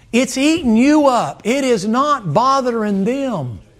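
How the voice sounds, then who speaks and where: A man speaks at an extremely high pitch with ordinary pitch variation. His pace is very slow. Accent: Southern US. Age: old. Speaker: preacher. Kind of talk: sermon. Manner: animated.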